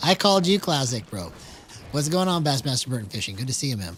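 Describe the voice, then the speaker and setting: A man talks at a fairly quick pace in a fairly high pitch, his tone animated and his intonation lively, with noticeable background noise. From Texas. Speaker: gaming streamer. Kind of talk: live gameplay commentary. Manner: casual, animated.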